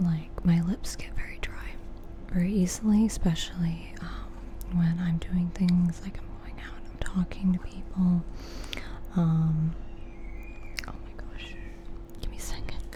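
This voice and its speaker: A soft-spoken woman whispers with big swings in loudness and long, frequent pauses over noticeable background noise. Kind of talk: ASMR rambling video. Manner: soft-spoken, whispered; casual, chatty.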